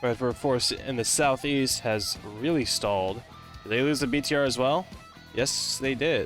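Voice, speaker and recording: Music plays in the background as a man speaks at a moderate pace. His voice sits at a medium pitch with ordinary pitch variation. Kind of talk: live esports-style shoutcasting commentary on a military simulation game match. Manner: casual, conversational play-by-play.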